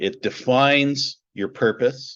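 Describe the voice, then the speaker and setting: A man talks over a quiet background, his pitch varying in an ordinary way. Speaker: business consultant, company founder. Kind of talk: interview. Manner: hesitant, many fillers and repeats.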